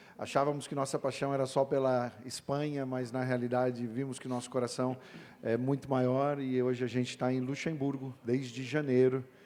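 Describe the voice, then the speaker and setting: A man's medium-pitched voice at a moderate pace, monotone and flat in intonation. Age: 40s. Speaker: missionary pastor. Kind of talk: panel discussion.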